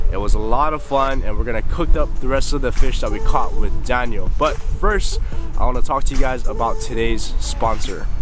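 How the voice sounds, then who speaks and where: A man at a moderate pace, dry sound with no echo, and clear music in the background. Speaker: fishing vlogger. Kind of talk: casual vlog chat. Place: beach. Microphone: phone near.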